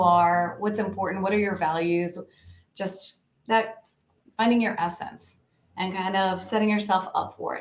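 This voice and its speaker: A woman speaks with an American accent. Her pitch sits in the medium range. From American South. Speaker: marketing director. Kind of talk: interview answer. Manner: casual, enthusiastic.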